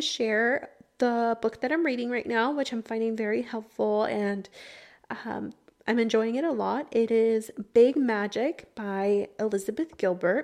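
In an American accent, a woman uses an ordinary speaking voice, fairly high in pitch with ordinary pitch variation, at a moderate pace against a quiet background. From Texas, Houston. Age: 20s. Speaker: podcast host. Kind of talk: personal monologue. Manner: casual, frequent laughter and fillers.

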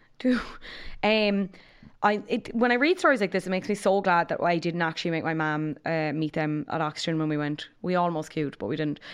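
This woman has a fairly low pitch and an Irish accent. She talks at a fairly quick pace over a quiet background. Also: ordinary pitch variation. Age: 20s. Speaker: podcast co-host. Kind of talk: casual chat.

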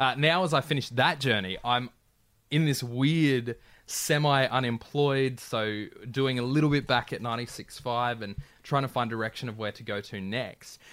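Against a very clean recording with a silent background, a man with an Australian accent speaks at a moderate pace with ordinary pitch variation. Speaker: radio announcer. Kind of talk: casual chat. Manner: halting.

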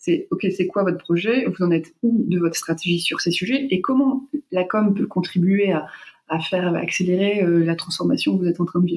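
A woman speaks at a moderate pace in a plain, everyday voice. Her loudness stays very even. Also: medium pitch for a woman, ordinary pitch variation. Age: 40s. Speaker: marketing and communication consultant. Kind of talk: interview.

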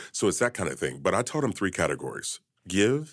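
At a moderate pace, this voice carries noticeable vocal fry. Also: man, very clean recording, silent background. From Kentucky. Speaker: financial expert and author. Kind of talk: interview.

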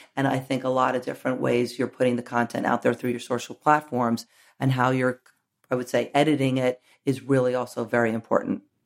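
Intonation stays monotone and flat. The accent is American. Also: woman, very deep, low pitch for a woman. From New York. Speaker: media executive. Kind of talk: interview.

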